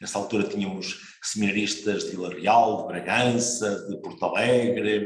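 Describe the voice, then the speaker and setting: Amid noticeable background noise and audible room echo, a man speaks with a fairly low pitch and fairly even intonation. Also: moderate pace. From northern Portugal, Marco de Canaveses. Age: 60s. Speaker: priest. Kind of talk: interview. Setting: broadcast program.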